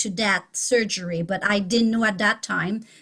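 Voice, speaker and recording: A woman speaks with a Quebec accent. Her pitch is fairly high. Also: very clean recording, silent background. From Quebec, Canada. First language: French. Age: 50s. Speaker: teacher. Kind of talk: testimony. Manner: halting.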